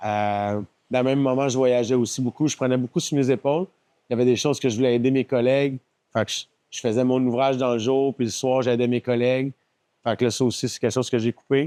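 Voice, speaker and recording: A man with a Quebec accent at a very fast pace, medium pitch and fairly even intonation, his tone dark and mellow, the sound dry and close with no echo. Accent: Québécois French. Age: 40s. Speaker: company founder. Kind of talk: podcast interview.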